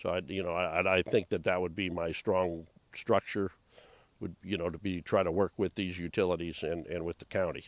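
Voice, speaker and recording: In an American accent, a man with a very deep, low voice speaks fairly quickly in a flat monotone, on a very clean recording with a silent background. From Southern California. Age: 70s. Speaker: board candidate, retired businessman. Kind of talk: interview. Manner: halting, many fillers.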